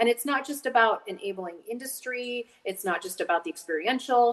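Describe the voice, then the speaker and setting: A woman with an American accent, lively intonation and a moderate pace, over noticeable background noise. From Montana, US. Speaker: state outdoor recreation official. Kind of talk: casual interview.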